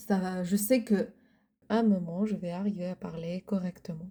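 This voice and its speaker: At a fairly slow pace and with fairly even intonation, a woman talks in a somewhat breathy voice. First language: Arabic (speaking French). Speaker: podcast co-host. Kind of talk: casual chat. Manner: halting.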